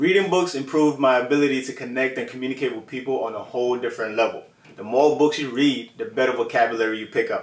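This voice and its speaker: A man at medium pitch, energetic and very fast, with hardly any pauses, ordinary pitch variation and big swings in loudness. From Ghana. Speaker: self-development YouTuber. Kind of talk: vlog talk to camera. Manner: casual, energetic.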